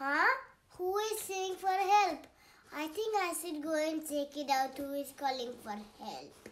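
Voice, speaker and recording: The voice is a high-pitched, cartoonish character voice. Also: fairly slow pace. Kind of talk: puppet show for kids.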